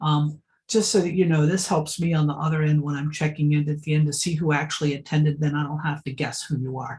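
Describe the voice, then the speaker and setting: Somewhat breathy, a woman talks with a very deep, low pitch. She moves at a fairly quick pace with fairly even intonation. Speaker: event facilitator. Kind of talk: online event introduction. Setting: video call.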